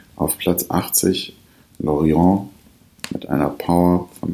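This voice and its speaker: Noticeable background noise sits behind a man talking. His voice is very deep and low, with ordinary pitch variation. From Ruhr area, Germany (Bottrop). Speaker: podcast host. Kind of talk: scripted ranking readout. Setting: at home by the fireplace. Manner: formal.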